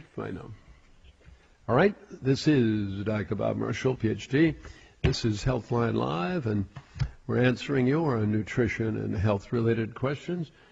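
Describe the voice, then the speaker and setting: Somewhat breathy, a man speaks at a fairly slow pace with lively intonation and long, frequent pauses. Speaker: health advice radio host. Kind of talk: call-in advice show. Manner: direct and conversational. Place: studio.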